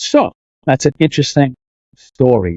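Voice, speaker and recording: A man with a Boston accent and a medium-pitched voice. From Boston, Massachusetts. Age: 50s. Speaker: fitness and martial arts coach. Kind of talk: casual interview chat.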